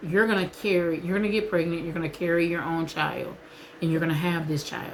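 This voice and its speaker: A woman's ordinary speaking voice, fairly low-pitched, with fairly even intonation. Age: 40s. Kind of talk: casual vlog talk to camera.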